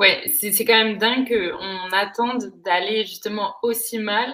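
At a fairly slow pace, a woman speaks in a fairly high pitch with a bright, sharp tone. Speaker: podcast host. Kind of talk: interview. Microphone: laptop microphone, poor sound.

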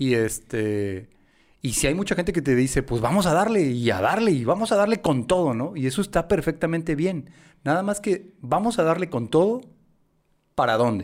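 On a very clean recording with a silent background, a man with fairly high pitch speaks at a moderate pace with very wide pitch swings. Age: 40s. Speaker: marketing consultant. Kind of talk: casual interview.

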